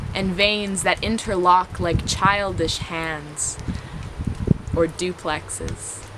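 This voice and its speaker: Over noticeable background noise, a woman speaks very slowly at medium pitch with fairly even intonation. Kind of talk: spoken word poetry performance. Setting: outdoors.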